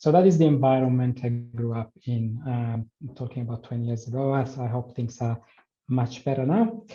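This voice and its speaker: A man with an Italian accent speaks with fairly even intonation. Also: medium pitch for a man, moderate pace. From Italy. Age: 40s. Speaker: health promotion worker and PrEP patient. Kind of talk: personal testimony in online forum.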